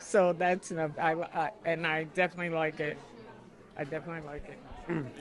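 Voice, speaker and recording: Someone with an American accent speaks at a moderate pace over crowd noise in the background. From Passaic, New Jersey. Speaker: senior citizen interviewee. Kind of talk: oral history interview.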